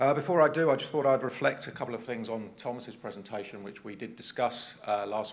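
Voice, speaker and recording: In a southern English accent, a man talks at a very fast pace with a medium pitch and ordinary pitch variation, with audible room echo. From England, Cambridge. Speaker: transport agency executive, conference speaker. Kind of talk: conference presentation. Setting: stage with audience.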